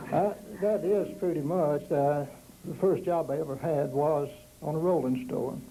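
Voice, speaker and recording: At a moderate pace, a man with a Southern Appalachian accent speaks in a fairly high pitch with ordinary pitch variation. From East Tennessee, Smoky Mountains. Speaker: panelist recalling local history. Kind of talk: oral history storytelling.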